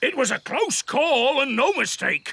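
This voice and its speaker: This cartoonish character voice runs high in pitch at a moderate pace. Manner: hearty, jolly.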